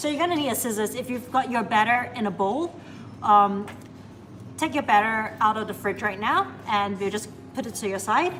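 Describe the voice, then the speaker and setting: Long, frequent pauses from a woman at a fairly high pitch, lively in intonation, with music in the background. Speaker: baker and barista hosting a live bake-along. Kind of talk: live stream tutorial. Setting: cafe kitchen on a live stream. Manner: fast when nervous.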